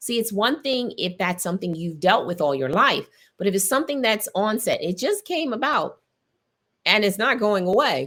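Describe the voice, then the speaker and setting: On a very clean recording with a silent background, a woman speaks in an animated tone. Her voice sits fairly high and moves in very wide pitch swings. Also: moderate pace. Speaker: podcast host. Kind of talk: faith-based health talk.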